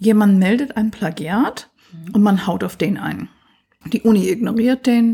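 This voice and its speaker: Pitch varies in an ordinary way as the voice proceeds at a fairly slow pace. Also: woman, medium pitch for a woman. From US, Pennsylvania. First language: English (speaking German). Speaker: computer science professor. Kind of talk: interview.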